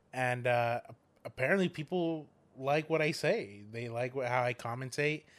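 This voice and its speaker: At a moderate pace, a man talks loudly at a medium pitch with ordinary pitch variation. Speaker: guest. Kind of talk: casual chat.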